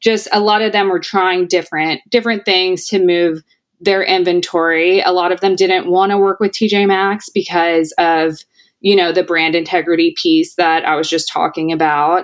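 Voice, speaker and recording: Speaking at a moderate pace with a plain, everyday voice, a woman with an American accent keeps a medium pitch, fairly even intonation and very even loudness. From US South, Tennessee. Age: 30s. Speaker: retail company founder. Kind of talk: interview.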